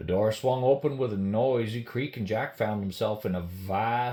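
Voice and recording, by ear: With ordinary pitch variation, the passage is given by reading aloud in a natural voice.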